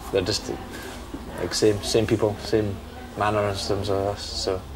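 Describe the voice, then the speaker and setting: With a Scottish accent, a man speaks at a moderate pace amid noticeable background noise and audible room echo. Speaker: interviewee. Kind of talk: interview.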